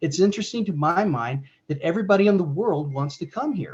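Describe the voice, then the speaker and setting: The voice has an American accent and sounds somewhat breathy. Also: man. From United States. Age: 60s. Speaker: religious presenter. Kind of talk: discussion Q&A. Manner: halting.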